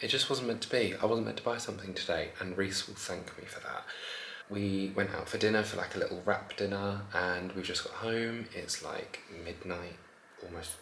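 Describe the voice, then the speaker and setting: Fairly low in pitch, a man speaks with fairly even intonation amid audible room echo and noticeable background noise. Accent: English. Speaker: family vlogger. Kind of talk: casual vlog chat.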